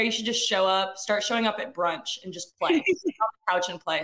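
A woman speaks in a plain, everyday voice with an American accent. Her pace is moderate and her pitch variation ordinary. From Athens, Georgia, US South. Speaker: musician. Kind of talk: interview.

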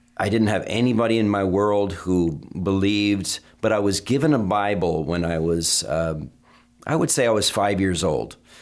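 Against a very clean, silent background, a man with a plain, everyday voice and an American accent speaks at a moderate pace, fairly low in pitch with ordinary pitch variation. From US Northeast, Vermont. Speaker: pastor. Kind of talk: interview. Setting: studio.

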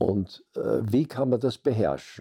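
A man speaks very slowly in a medium pitch with lively intonation and a dark, mellow tone. The recording is very clean, with a silent background. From Austria, Vienna. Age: 80s+. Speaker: social scientist, group dynamics scholar. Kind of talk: interview, life story.

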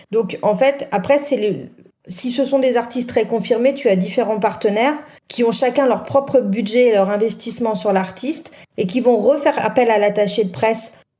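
Here a woman speaks at a moderate pace in a plain, everyday voice. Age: 40s. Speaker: music press officer. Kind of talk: casual panel discussion.

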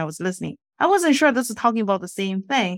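A woman talks at a very fast pace in a Chinese accent. The recording is very clean, with a silent background. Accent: Mandarin Chinese. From China. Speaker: financial advisor. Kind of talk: casual interview. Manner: bubbly.

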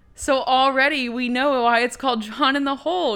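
A woman speaks at a moderate pace in a bright, sharp tone. The recording is very clean, with a silent background. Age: 20s. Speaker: podcast host, film reviewer. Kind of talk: solo movie recap podcast. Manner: casual, rambling with filler words.

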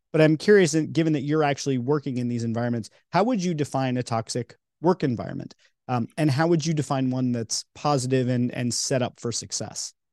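A man's plain, everyday voice at a medium pitch, fairly quick in pace, with ordinary pitch variation and a dry, close sound with no echo. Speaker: podcast host. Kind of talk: casual interview.

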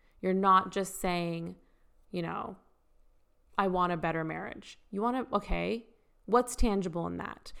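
The speaker uses ordinary pitch variation at a moderate pace, in a very clean recording with a silent background. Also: woman. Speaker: podcast host and shop owner. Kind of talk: solo podcast monologue. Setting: recording at home. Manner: casual, chatty.

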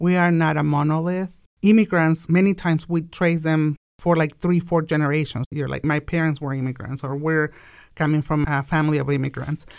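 Spoken in a Mexican accent at a fairly quick pace, the voice keeps a fairly even intonation on a very clean recording with a silent background. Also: woman, very deep, low pitch for a woman. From Mexico. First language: Spanish. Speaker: immigrant business owner. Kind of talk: podcast interview.

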